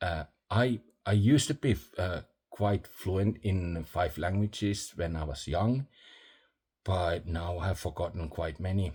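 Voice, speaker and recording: A man speaks very slowly with a non-native accent, his very deep, low voice somewhat breathy with a dark, mellow tone and ordinary pitch variation, on a very clean recording with a silent background. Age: old. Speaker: vlogger. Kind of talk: casual vlog monologue. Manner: halting, many fillers.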